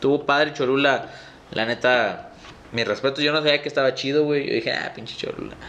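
A man with a northern Mexican accent speaks at a fairly high pitch and fairly quick pace in a monotone, flat intonation. Background noise is noticeable. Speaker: podcast host. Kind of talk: casual chat.

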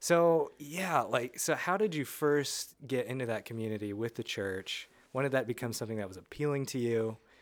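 A man with medium pitch and an ordinary speaking voice talks with lively intonation and hardly any pauses in a very clean recording with a silent background. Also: moderate pace. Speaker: podcast host. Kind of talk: casual interview chat.

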